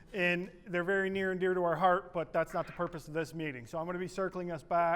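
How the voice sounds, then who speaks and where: Loud and high-pitched, a man speaks with fairly even intonation on a very clean recording with a silent background. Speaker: political activist presenter. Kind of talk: workshop presentation. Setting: meeting room with audience, no microphone.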